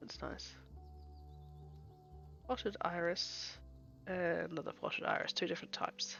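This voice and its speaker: The speaker is soft-spoken and talks at a fairly slow pace. Music plays in the background. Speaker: gameplay streamer. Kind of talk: casual gameplay commentary.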